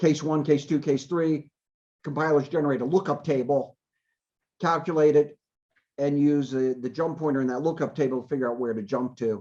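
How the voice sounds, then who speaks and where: Over a quiet background, a man talks at a fairly quick pace in a dark, mellow tone with a fairly high pitch and fairly even intonation. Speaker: university computer security researcher. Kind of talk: lecture.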